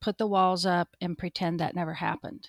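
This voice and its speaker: Recorded very cleanly against a silent background, with a dry, close sound and no echo, a woman with an American accent speaks at a moderate pace in an unremarkable speaking voice of medium pitch and fairly even intonation. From US Pacific Northwest, eastern Washington State. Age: 50s. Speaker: ultra running coach and finance manager. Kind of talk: interview, personal testimony.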